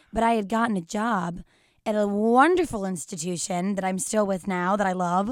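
A woman of medium pitch with an American accent speaks at a moderate pace with ordinary pitch variation in a very clean recording with a silent background. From Texas. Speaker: singer-songwriter. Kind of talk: casual chat.

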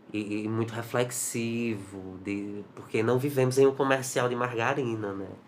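A man's medium-pitched voice at a fairly slow pace, fairly even in intonation, with audible room echo. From Brazil, Ceará (Juazeiro do Norte). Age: 20s. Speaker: actor and cultural producer. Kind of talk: interview.

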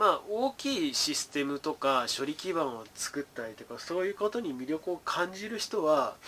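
This male speaker swings very widely in pitch while keeping a moderate pace. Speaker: educational YouTuber, former tutor. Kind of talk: casual solo talk on data science.

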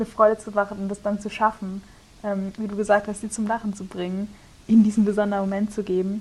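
A woman at a very fast pace. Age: 20s. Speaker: theology student and podcast co-host. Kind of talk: casual chat.

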